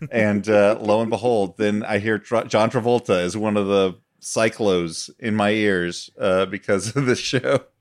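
Hardly any pauses break the fairly slow, fairly even delivery of a man with a fairly low pitch and an unremarkable speaking voice. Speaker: podcast co-host and comedy writer. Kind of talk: casual comedy chat. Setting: video call from home.

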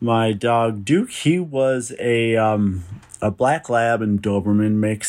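A man speaks with a Minnesota accent. His pitch is fairly low and his intonation fairly even. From Minnesota, US. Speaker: listener sending in a story. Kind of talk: recorded personal story.

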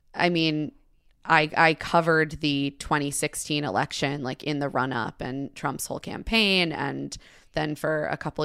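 In an American accent, a woman speaks at a moderate pace with fairly even intonation. Her pitch is very deep and low, with vocal fry. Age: 30s. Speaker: podcast host and writer, guest. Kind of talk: casual chat.

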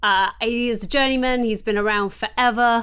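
A woman with an English accent speaks at a high pitch with fairly even intonation on a very clean recording with a silent background. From England. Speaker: podcast co-host. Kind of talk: casual chat.

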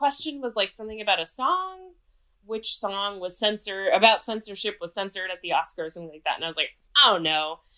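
This woman has a plain, everyday voice at medium pitch. She talks at a fairly quick pace with lively intonation and big swings in loudness. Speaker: writer and journalist. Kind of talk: casual chat and quiz.

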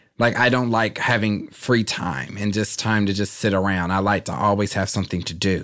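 A man with an American accent talks in a normal speaking voice, fairly low in pitch with fairly even intonation. His pace is moderate, with hardly any pauses. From Kansas City area, US Midwest. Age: 20s. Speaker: internet comedian and TV correspondent. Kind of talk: casual interview chat.

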